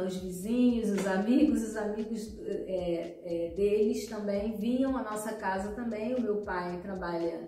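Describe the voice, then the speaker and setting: In a Rio de Janeiro accent, a woman speaks at a very slow pace in a fairly high pitch with ordinary pitch variation, and audible room echo surrounds her voice. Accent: Brazilian Portuguese, Rio (carioca). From Brazil, Rio de Janeiro. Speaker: speech therapist, podcast co-host. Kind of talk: personal life story on podcast. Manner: halting, many fillers.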